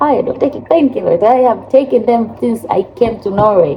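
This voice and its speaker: A woman's intonation is lively as she talks at a moderate pace, with noticeable background noise present. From Africa. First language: not English; English is third language. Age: 30s. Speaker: vlogger. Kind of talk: casual vlog talk.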